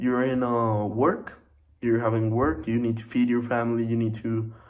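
The pace is moderate as a man speaks. Audible room echo surrounds his voice. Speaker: student. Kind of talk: student presentation. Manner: hesitant, many fillers.

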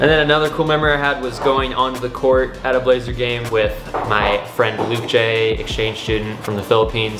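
With clear music in the background, the speech moves at a moderate pace with fairly even intonation. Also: man.

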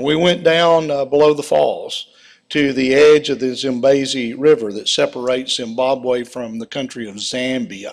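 Here a man talks in an American accent at a moderate pace with ordinary pitch variation. His loudness swings widely over a quiet background. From United States. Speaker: preacher. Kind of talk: sermon with mission report. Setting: church with slides. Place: church.

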